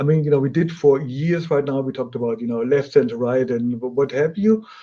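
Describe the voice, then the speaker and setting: A man's dark, mellow tone at a fairly high pitch. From Germany. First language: German. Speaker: audio company product specialist and host. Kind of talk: webinar interview.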